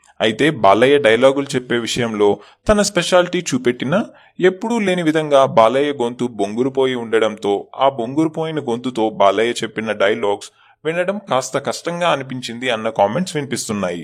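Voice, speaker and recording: On a very clean recording with a silent background, a man with a plain, everyday voice speaks at medium pitch with lively intonation. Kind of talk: entertainment news narration.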